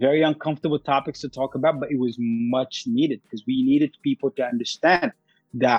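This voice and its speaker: With music in the background, a man speaks at a fairly quick pace and with fairly even intonation, the sound dry and close with no echo. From Sudan and UAE. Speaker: life coach and founder. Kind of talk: casual interview. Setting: remote call, based in US.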